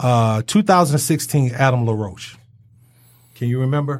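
Somewhat breathy, medium-pitched male voice with lively intonation and an American accent, on a very clean recording with a silent background. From Detroit. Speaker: sports talk host. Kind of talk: casual sports talk. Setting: studio.

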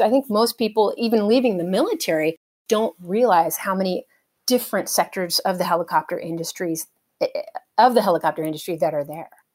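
A woman with an American accent at a fairly quick pace, medium pitch and ordinary pitch variation, in a dry, close sound with no echo. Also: very clean recording, silent background. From rural California. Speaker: helicopter pilot. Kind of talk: interview.

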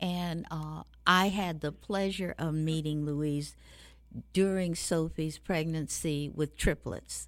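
On a very clean recording with a silent background, a woman speaks at a very slow pace in a very deep, low pitch with monotone, flat intonation. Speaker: radio host. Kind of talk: warm interview, host intro. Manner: warm, formal, inspirational.

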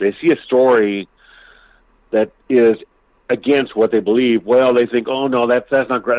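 A man speaks in an unremarkable speaking voice at a medium pitch. His pace is fairly quick. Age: 50s. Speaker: UFO historian. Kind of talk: casual chat.

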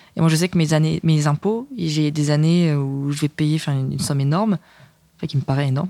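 A woman's very deep, low pitch, dark and mellow in tone, with ordinary pitch variation and a dry, close sound with no echo. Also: moderate pace. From Burgundy, France (village near Dijon). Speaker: screenwriter. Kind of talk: casual chat.

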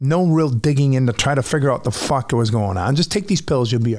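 At a moderate pace, a man with a fairly high pitch and a somewhat breathy voice speaks with lively intonation. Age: 40s. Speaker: podcast host, musician. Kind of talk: personal monologue. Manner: casual, halting with fillers.

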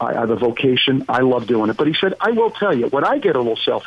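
A man with an American accent talks at a very fast pace, his pitch swinging very widely. Noticeable background noise runs underneath. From Pennsylvania, US. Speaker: business professor and former CEO. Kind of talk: interview. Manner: halting, many fillers.

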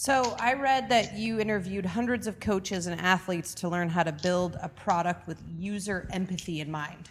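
A woman talks at a moderate pace in a medium pitch, with ordinary pitch variation. She has an ordinary speaking voice. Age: 40s. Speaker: podcast co-host and entrepreneur. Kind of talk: interview.

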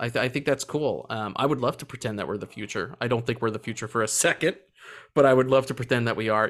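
His pace is very fast. This man speaks at a medium pitch. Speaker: podcast host. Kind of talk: casual chat. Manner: animated, profane.

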